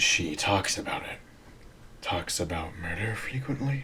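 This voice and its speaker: A man uses a raspy, put-on character voice at a medium pitch and moderate pace. Background noise is clearly heard. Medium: audio drama. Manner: calm, formal.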